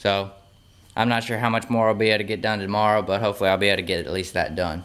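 In a monotone with flat intonation, a man speaks at a fairly low pitch. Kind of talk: casual vlog chat. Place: garage. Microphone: phone near.

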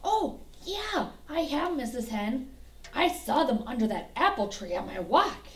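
A woman performs a cartoonish character voice at a high pitch with very wide pitch swings. She keeps a moderate pace over light background noise. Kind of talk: children's puppet show. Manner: eager, excitable.

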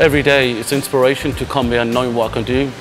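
Over music in the background, a man talks at a fairly quick pace with monotone, flat intonation. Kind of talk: interview answer. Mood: earnest, reflective. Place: gym. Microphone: lapel.

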